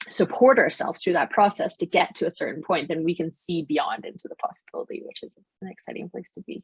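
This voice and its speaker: With a Canadian accent, a woman talks very fast, her loudness swinging widely, the sound dry and close with no echo. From Canada. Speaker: positive psychology coach and business founder. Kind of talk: podcast interview. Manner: casual, conversational with many fillers.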